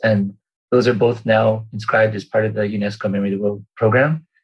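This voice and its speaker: A man speaks with a Canadian accent at a medium pitch. His voice is somewhat breathy, with fairly even intonation. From Vancouver Island, British Columbia, Canada. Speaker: archivist. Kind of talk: interview. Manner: halting, many fillers.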